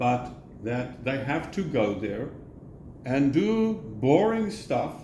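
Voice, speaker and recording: A man's somewhat breathy voice moves through very wide pitch swings. Room echo is audible. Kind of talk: casual chat.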